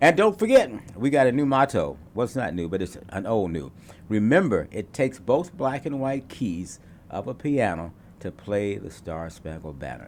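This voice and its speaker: Using vocal fry and very wide pitch swings, a man talks at a moderate pace. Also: medium pitch for a man, big swings in loudness. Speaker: TV talk show host. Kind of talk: casual panel talk show.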